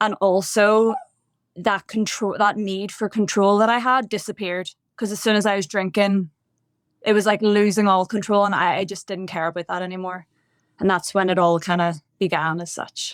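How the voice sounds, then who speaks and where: A woman with a Northern Irish accent and a medium pitch speaks at a moderate pace with fairly even intonation, on a very clean recording with a silent background and a dry, close sound with no echo. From Northern Ireland, Bangor near Belfast. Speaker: podcast guest sharing recovery story. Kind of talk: interview testimony.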